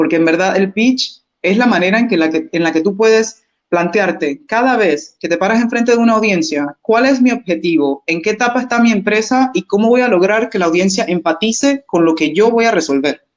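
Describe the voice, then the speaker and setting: A woman with an unremarkable speaking voice at medium pitch, fairly quick with hardly any pauses, very even loudness and lively intonation. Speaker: business consultant. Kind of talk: webinar presentation.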